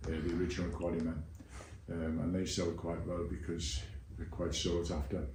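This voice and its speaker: Speaking with a Liverpool accent, a man with a very deep, low voice talks at a fairly quick pace with fairly even intonation, and audible room echo is heard. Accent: Liverpool (Scouse). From Liverpool, England. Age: 80s+. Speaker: Beatles-era eyewitness and author. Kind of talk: interview. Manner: hesitant, with fillers.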